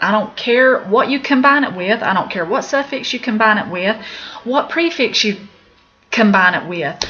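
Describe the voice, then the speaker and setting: A woman with an Appalachian accent speaks at a moderate pace in a fairly high pitch with lively intonation. Noticeable background noise runs behind her. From Appalachia, US. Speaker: medical terminology teacher. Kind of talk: video lesson. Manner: casual, with fillers.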